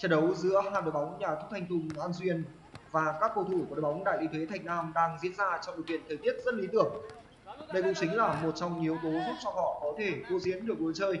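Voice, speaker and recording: A man with a high pitch and fairly even intonation speaks at a very fast pace over noticeable background noise. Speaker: football commentator. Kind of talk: live commentary. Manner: formal.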